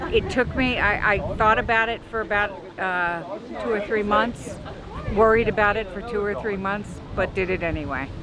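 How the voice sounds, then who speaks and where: With crowd noise in the background and audible room echo, a woman talks at a moderate pace in a medium pitch with ordinary pitch variation. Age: 60s. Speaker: passerby interviewee. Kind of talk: street interview.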